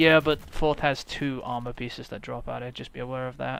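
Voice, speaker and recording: A man with a British accent is talking. His pace is fairly quick and his pitch is medium. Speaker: gamer streamer. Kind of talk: casual gaming chat.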